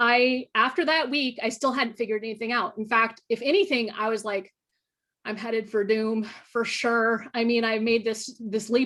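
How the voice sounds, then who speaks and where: A woman speaks in an animated, bright, sharp tone. Her pitch is fairly high and her pace moderate. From northern US. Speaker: nuclear policy expert and thriller writer. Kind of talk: panel conversation. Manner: animated, with repetitions and false starts.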